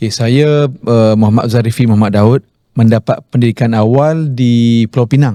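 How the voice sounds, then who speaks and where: A man with an unremarkable speaking voice, very even loudness and fairly even intonation. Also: medium pitch for a man, moderate pace, dry, close sound with no echo. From Malaysia, Kelantan roots, raised in Penang. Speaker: Islamic preacher and author. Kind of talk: interview. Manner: conversational, with fillers.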